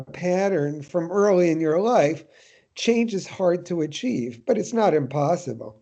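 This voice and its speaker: A man's high pitch and dark, mellow tone, with lively intonation at a fairly slow pace. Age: 70s. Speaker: professor. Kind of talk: interview. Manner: hesitant with fillers and repetitions.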